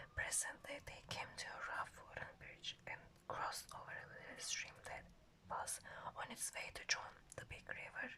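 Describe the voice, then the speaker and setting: Someone is whispering. The pace is moderate. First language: not English. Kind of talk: ASMR book reading. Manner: soft, calm.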